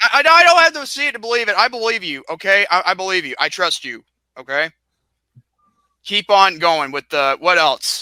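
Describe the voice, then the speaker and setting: In a raised, projected voice, a man speaks at a moderate pace with a high pitch, very wide pitch swings and a bright, sharp tone, the sound dry and close with no echo. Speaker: podcast guest. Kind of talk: casual chat. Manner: halting, stuttering; animated.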